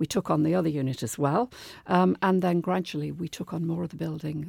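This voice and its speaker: A woman speaks with a very deep, low pitch and a dark, mellow tone. The recording is very clean, with a silent background. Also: dry, close sound with no echo. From Liverpool, England. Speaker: business founder and former dance teacher. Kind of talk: radio interview. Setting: radio studio.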